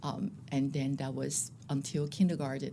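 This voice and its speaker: A woman speaks with a very deep, low pitch and a somewhat breathy quality. Her pace is moderate and her pitch variation ordinary. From Taiwan. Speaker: school principal. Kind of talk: interview.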